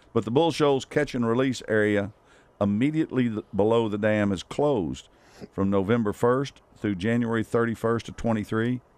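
Here a man talks with a Southern US accent. His pace is moderate, with ordinary pitch variation. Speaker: outdoors radio host. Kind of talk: casual chat. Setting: studio.

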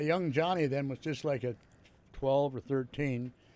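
A man with a fairly high pitch keeps his intonation fairly even at a moderate pace, in a normal speaking voice. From Ontario, Canada. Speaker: retired pro wrestler. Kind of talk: casual interview.

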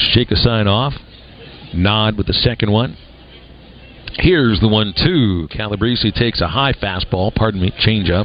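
At a moderate pace and a fairly low pitch, a man talks in an upbeat, energetic tone with ordinary pitch variation over noticeable background noise. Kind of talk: live baseball play-by-play commentary. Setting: radio broadcast from ballpark. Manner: upbeat radio play-by-play, steady and energetic.

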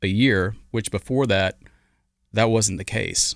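On a very clean recording with a silent background, a man speaks with an Arkansas accent. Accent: US Southern (Arkansas). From Arkansas, Little Rock area. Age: 50s. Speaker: former pro golfer. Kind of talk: interview.

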